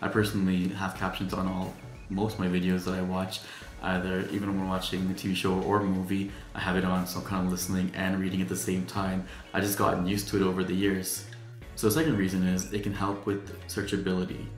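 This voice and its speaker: Over faint background music and audible room echo, a man with an American accent talks at a very fast pace in a very deep, low pitch with monotone, flat intonation. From Trinidad. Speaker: YouTuber. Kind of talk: tutorial. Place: studio.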